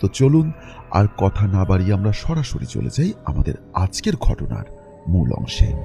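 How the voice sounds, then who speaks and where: Over music in the background, a man with a fairly low pitch makes very wide pitch swings. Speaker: radio-style horror story narrator. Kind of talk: show intro to listeners.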